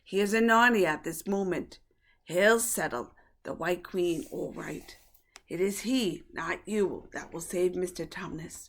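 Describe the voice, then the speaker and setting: In a put-on character voice, a woman speaks at a fairly slow pace with a raspy sound and medium pitch. The recording is very clean, with a silent background. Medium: read story. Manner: hearty, earnest.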